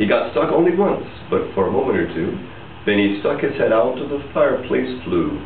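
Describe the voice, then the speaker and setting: Noticeable background noise runs through the clip. Over it, a man talks at a moderate pace. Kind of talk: storybook reading in rhyme. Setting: casual party room.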